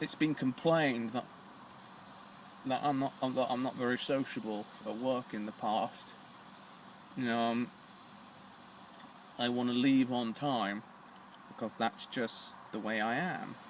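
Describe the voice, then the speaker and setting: Over noticeable background noise, a man with a British accent speaks fairly slowly at a medium pitch. His intonation is fairly even, and he pauses long and often. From Britain. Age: 20s. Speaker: vlogger. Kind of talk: personal vlog. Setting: smoking a cigar on camera. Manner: halting.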